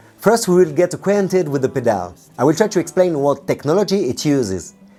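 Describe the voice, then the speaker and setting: A man with a non-native accent speaks at a very fast pace in a fairly high pitch, his intonation lively, with music playing in the background. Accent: noticeable foreign. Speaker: guitarist and gear reviewer. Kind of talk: product review.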